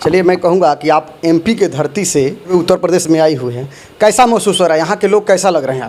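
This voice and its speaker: Noticeable background noise sits behind this man's voice. His pitch is high, with ordinary variation. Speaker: news channel reporter. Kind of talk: interview questions to camera.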